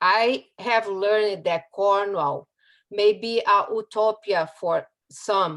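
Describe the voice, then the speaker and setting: A woman speaks at a very slow pace with a strong Brazilian accent. Her pitch is medium, with ordinary pitch variation. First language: Portuguese. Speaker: community resident speaker. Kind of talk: prepared public talk. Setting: video call.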